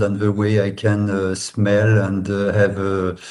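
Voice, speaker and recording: The speech has a dark, mellow tone and a fairly slow pace. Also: man. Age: 50s. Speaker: biotech investor. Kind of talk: interview. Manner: halting.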